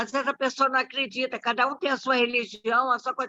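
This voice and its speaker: A woman projects a raised voice with a bright, sharp tone, and the sound is dry and close with no echo. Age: 80s+. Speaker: club member commenting after a talk. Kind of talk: casual comment in virtual meeting.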